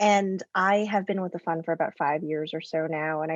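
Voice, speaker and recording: This woman has a fairly low pitch and a slight Canadian accent, with fairly even intonation. The sound is dry and close with no echo, over a quiet background. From Canada. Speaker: venture capital investor, plant biologist. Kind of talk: panel discussion.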